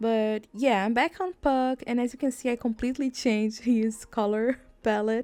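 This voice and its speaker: Recorded very cleanly over a silent background, a woman with a non-native accent speaks at a moderate pace in a dark, mellow tone, her pitch fairly high and her intonation fairly even. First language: not English. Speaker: gaming YouTuber. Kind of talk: casual gameplay commentary. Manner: chatty, rambling with fillers.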